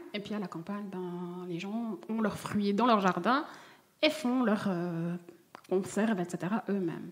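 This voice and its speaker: A woman with a slight Vaud accent speaks at a fairly slow pace in a medium pitch. Her pitch varies in an ordinary way, and there is noticeable background noise. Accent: slight singsong Swiss Vaud. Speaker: jam maker. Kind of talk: coaching conversation. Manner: singsong.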